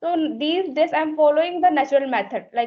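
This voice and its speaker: Her pitch high, a woman talks with an Indian accent. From India, Uttar Pradesh. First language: Hindi. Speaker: English learner. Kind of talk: conversation practice chat.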